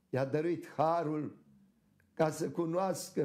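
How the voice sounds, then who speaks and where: Very slow is the pace here. A dark, mellow tone carries the speech. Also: man. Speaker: Orthodox archbishop. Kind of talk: sermon.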